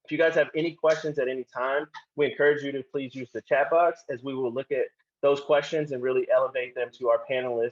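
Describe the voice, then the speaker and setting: An ordinary speaking voice with an American accent moves at a fairly quick pace with fairly even intonation. The sound is dry and close, with no echo. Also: man. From Oklahoma, Tulsa. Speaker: panel moderator. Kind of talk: panel introduction.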